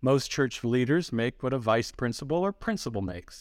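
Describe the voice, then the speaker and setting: A man with an American accent and an ordinary speaking voice, medium in pitch, lively in intonation, at a moderate pace, on a very clean recording with a silent background. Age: 60s. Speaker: pastor and ministry founder. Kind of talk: interview.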